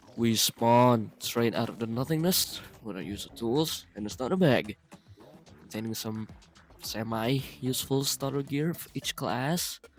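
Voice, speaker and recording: Over music in the background, a man speaks at a medium pitch and a fairly slow pace, with ordinary pitch variation and big swings in loudness. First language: not English. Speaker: gaming YouTuber. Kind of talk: gameplay voiceover narration. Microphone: poor audio quality at times, first voiceover.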